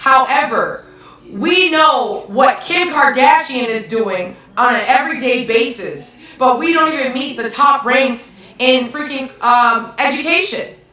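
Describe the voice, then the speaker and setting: A woman's raised, projected voice, high-pitched with ordinary pitch variation and a fairly slow pace, amid noticeable background noise and audible room echo. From Hawaii. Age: 30s. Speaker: live-stream commentator. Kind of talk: live-stream rant reading chat comments. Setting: live stream at home. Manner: animated.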